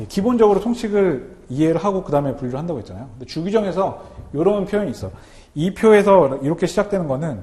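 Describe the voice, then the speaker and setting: With audible room echo, a man talks very fast in a high pitch and a dark, mellow tone, making very wide pitch swings and big swings in loudness. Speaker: customs broker instructor. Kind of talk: lecture.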